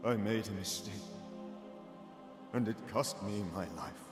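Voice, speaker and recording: Someone uses a put-on character voice at a moderate pace. There is a clear echo and loud music in the background. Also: man, fairly low pitch for a man. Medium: video game. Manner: sorrowful.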